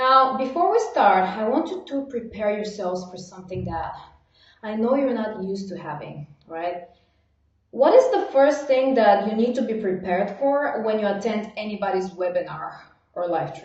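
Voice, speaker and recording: Animated and somewhat breathy, a woman speaks at a fairly high pitch with lively intonation and big swings in loudness, with audible room echo. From Bulgaria. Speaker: online marketing coach. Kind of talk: live webinar training. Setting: livestream. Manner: fast.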